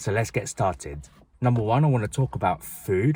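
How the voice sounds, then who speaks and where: Loud and in a British accent, a man's voice makes very wide pitch swings in a very clean recording with a silent background. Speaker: vlogger. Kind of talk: personal vlog talk to camera. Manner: fast; loud, projected.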